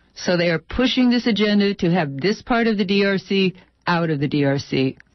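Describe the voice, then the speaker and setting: A woman speaks at a medium pitch with lively intonation. It is a normal speaking voice. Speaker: radio journalist. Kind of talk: radio report, repeating interviewee's statements.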